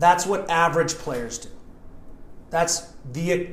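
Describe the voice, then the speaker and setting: A man with an American accent and a fairly high pitch, at a moderate pace, with audible room echo. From Montana. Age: 40s. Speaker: soccer coach and former player. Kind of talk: interview.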